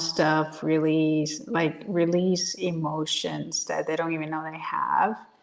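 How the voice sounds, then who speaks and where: Over noticeable background noise, the voice moves at a very slow pace with fairly even intonation and big swings in loudness. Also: woman. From Puerto Rico. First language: Spanish. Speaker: business coach and Air Force veteran. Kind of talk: interview. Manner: halting, many repetitions and restarts.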